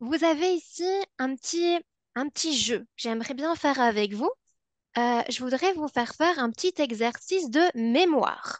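With a Belgian accent, a woman talks at a fairly slow pace in a high pitch with lively intonation, the sound dry with no echo and the background quiet. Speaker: psychology researcher; webinar presenter. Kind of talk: webinar presentation. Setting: online webinar. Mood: warm, engaging. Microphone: video call.

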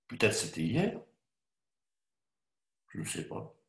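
A man speaks very slowly in a somewhat breathy voice, with audible room echo against a quiet background. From Spain, raised in France. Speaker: actor. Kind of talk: dramatized literary reading. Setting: online video call. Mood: weary, subdued, contemplative. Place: home room. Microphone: webcam.

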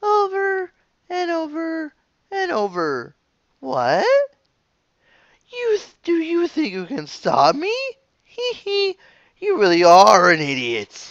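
This is a put-on character voice with a high pitch. It moves at a fairly slow pace, with long, frequent pauses. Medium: dub. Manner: mocking, menacing.

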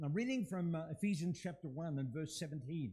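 Over a quiet background, a man talks at a moderate pace in a dark, mellow tone with ordinary pitch variation. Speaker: preacher. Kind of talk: sermon. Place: church.

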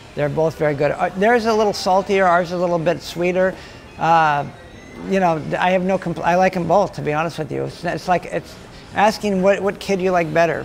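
Faint music plays in the background as a man with an American accent speaks at a moderate pace in a high voice with fairly even intonation. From Los Angeles. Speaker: deli owner. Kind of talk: interview. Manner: halting, with repeated words. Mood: warm, relaxed, smiling. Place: cafe. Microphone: lapel.

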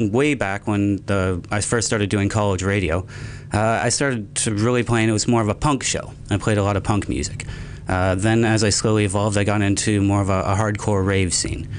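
Over light background noise, a man talks at a fairly quick pace in a fairly low voice, his loudness very even and his intonation fairly even. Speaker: college radio host. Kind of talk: interview answer. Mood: relaxed, reflective. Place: studio. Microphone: studio mic.

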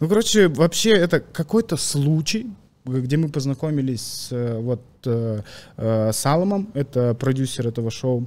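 A man with lively intonation, a medium pitch and a fairly slow pace. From Kazakhstan. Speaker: comedian; podcast guest. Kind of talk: casual chat. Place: studio. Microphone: studio mic.

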